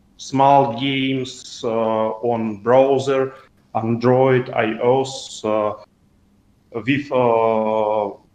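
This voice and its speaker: Speaking very slowly in a Russian accent, a man at medium pitch keeps a flat, monotone intonation and leaves long, frequent pauses. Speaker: community member. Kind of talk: voice call Q&A. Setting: voice call. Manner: halting.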